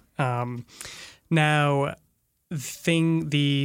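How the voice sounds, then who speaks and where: The voice is monotone with flat intonation, on a very clean recording with a silent background. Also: man. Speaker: policy expert. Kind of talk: interview.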